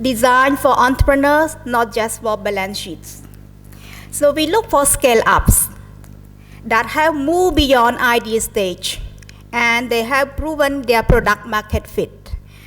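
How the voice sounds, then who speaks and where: With music in the background, a woman with a Cambodian accent speaks at a fairly slow pace and a high pitch. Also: ordinary pitch variation. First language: Khmer. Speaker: investment manager, guest speaker. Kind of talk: formal speech at an event. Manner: formal.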